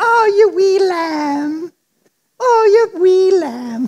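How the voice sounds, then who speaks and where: Female-sounding put-on character voice, extremely high-pitched, in an Irish accent at a very slow pace. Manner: fond, affectionate.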